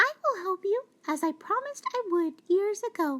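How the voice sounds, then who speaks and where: A squeaky put-on character voice moves along at a moderate pace. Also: woman, extremely high pitch for a woman. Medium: read story.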